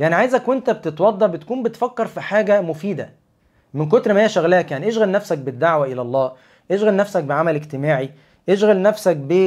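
A man with an Egyptian accent, high pitch, an animated tone, lively intonation and a fairly quick pace over a quiet background. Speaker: Islamic lecturer. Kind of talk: religious talk on a livestream. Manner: conversational, animated. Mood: calm, reassuring. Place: home room. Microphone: lapel.

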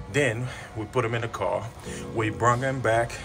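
Clear music plays in the background. The speech has a moderate pace and fairly even intonation. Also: man. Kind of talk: casual vlog chat. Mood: warm, reflective, sometimes laughing. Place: office. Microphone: phone near.

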